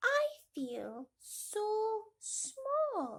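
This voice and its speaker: This woman uses a put-on character voice. Her pitch is extremely high. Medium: read story.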